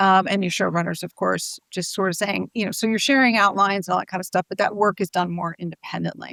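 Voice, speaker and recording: A woman with an American accent speaks at a very fast pace with hardly any pauses, her bright, sharp tone carrying vocal fry over fairly even intonation. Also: medium pitch for a woman, dry, close sound with no echo. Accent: sounds American. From United States. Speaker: TV showrunner and screenwriter. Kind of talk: interview. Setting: video call. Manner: hesitant, many fillers and repeats.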